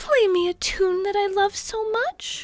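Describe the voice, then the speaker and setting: Someone uses a put-on character voice at a fairly slow pace, with faint music playing in the background. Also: woman. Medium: read story. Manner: dreamy, breathy romantic.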